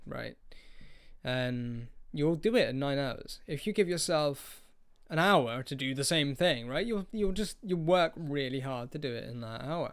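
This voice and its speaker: A man with a British accent speaks at a fairly slow pace in a fairly high pitch, with ordinary pitch variation, on a very clean recording with a silent background. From UK. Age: 20s. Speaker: podcast host, aspiring life coach. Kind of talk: solo casual monologue. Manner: hesitant, many fillers.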